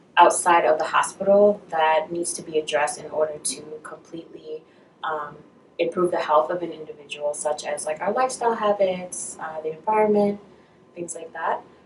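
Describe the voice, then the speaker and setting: Over noticeable background noise, a woman with an American accent speaks at a moderate pace in a fairly low pitch, with ordinary pitch variation and big swings in loudness. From Brooklyn, New York. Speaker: medical student. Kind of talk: interview.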